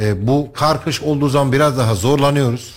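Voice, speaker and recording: A man talks at a moderate pace. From Turkey, Kayseri. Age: 40s. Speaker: parliamentary candidate. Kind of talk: radio interview.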